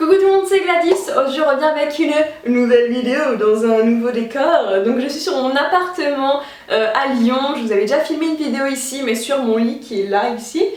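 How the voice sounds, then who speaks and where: With hardly any pauses, a woman talks in a high pitch and lively intonation, with audible room echo and noticeable background noise. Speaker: youtuber, student. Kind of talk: vlog, casual talk to camera. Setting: apartment, window closed. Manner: fast; animated.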